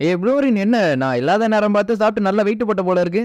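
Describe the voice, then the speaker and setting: The speaker is a man. His pitch is high. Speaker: story recap narrator. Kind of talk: casual anime story recap narration.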